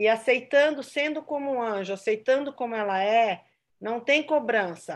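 The woman has an unremarkable speaking voice, fairly high in pitch with ordinary variation, and she talks at a fairly slow pace. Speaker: church member. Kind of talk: testimony.

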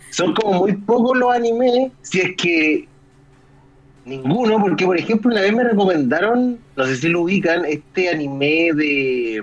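The speech comes at a fairly slow pace. It is delivered in a Chilean accent. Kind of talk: casual chat.

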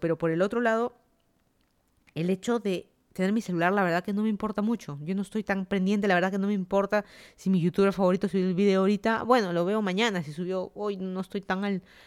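On a very clean recording with a silent background and a dry, close sound with no echo, a woman speaks fairly quickly at medium pitch with fairly even intonation. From Lima, Peru.

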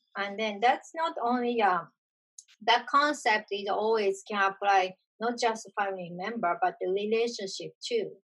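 A woman with a Japanese accent, fairly high pitch and moderate pace. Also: ordinary pitch variation. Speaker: video podcast host. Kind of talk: casual conversation.

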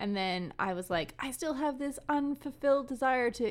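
Very wide pitch swings color the speech of a woman with a Canadian prairie accent, who talks at a moderate pace in a very clean recording with a silent background. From Canadian prairies. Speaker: film and library worker. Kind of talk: casual interview.

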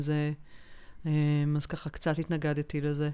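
Her voice is very deep and low in pitch for a woman. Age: 40s. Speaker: holistic emotional therapist. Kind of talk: interview about personal health experience. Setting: studio.

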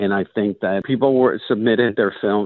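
Here a man speaks with a Spanish accent. His pace is moderate. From Panama. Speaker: film festival director. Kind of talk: interview.

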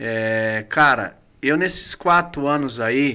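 A man speaks very slowly at a medium pitch. His tone is bright and sharp. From Brazil, Guarulhos (São Paulo). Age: 30s. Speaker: pastor. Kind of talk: casual chat.

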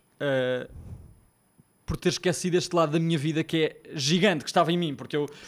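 On a very clean recording with a silent background, a man with a fairly high pitch talks at a fairly quick pace with fairly even intonation and long, frequent pauses. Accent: Lisbon. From Portugal, Lisbon. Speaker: musical theatre producer. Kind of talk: casual chat. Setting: studio.

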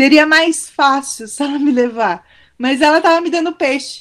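A woman speaks at a fairly slow pace in a high voice with lively intonation. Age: 40s. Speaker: school principal. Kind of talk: testimony. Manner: halting.

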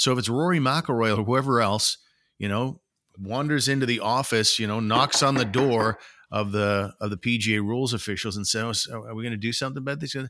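A man with a Canadian accent and a bright, sharp tone, at a fairly quick pace, in a very clean recording with a silent background. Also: medium pitch for a man, ordinary pitch variation. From Canada. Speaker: sports podcast host. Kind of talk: casual chat.

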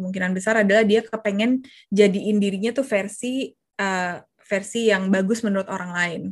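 Somewhat breathy speech at a moderate pace with fairly even intonation, set against a quiet background. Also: woman. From Jakarta, Indonesia. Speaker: confidence coach. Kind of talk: casual interview.

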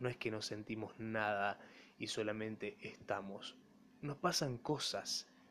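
Fairly slow speech from a man with a fairly low pitch and ordinary pitch variation. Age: 20s. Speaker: podcaster and broadcasting student. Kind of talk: solo monologue podcast.

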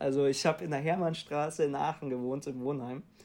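Fairly high for a man, this voice moves at a fairly quick pace with fairly even intonation on a very clean recording with a silent background. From Hamburg, northern Germany. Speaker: management consultant. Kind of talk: interview. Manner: halting.

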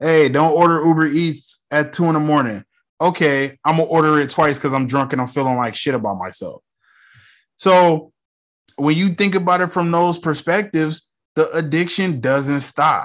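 A man's animated voice at a fairly high pitch and moderate pace, with ordinary pitch variation against a quiet background. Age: 30s. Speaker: TV review podcaster. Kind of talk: casual solo commentary.

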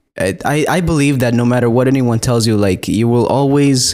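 At a moderate pace, a man with an American accent talks in an ordinary speaking voice at a medium pitch. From Texas. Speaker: pastor. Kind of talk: casual chat. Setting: home studio.

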